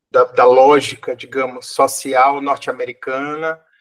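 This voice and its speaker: A man's fairly high voice at a very slow pace. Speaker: psychologist and lecturer. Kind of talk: podcast interview. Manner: halting, many fillers.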